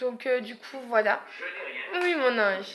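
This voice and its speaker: With noticeable background noise around her, a woman speaks in a raised, projected voice with lively intonation. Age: 20s. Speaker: vlogger, young mother. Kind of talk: casual vlog monologue. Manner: hesitant, many fillers.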